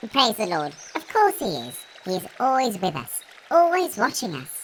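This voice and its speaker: This put-on character voice sits fairly high in pitch. Its pitch swings very widely. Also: moderate pace. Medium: audio drama. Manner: excited, fervent.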